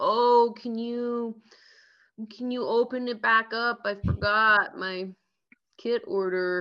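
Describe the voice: In a put-on, whiny character voice, a female-sounding speaker talks at a fairly high pitch and a very slow pace.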